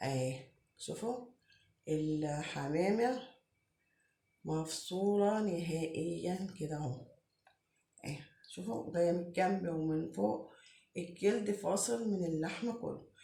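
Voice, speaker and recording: Talking at a very slow pace with long, frequent pauses, a woman with an Egyptian accent has a fairly low pitch and a dark, mellow tone. Her voice is somewhat breathy, and audible room echo surrounds it. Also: lively intonation. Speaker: home cook. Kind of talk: tutorial. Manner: casual, chatty.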